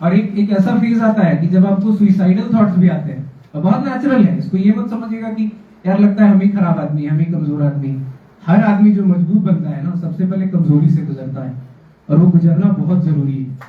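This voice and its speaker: Against noticeable background noise and audible room echo, a man with a Jharkhand accent speaks at a high pitch with ordinary pitch variation. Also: moderate pace. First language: Khortha (speaking Hindi). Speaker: civil service exam topper. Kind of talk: motivational talk to students.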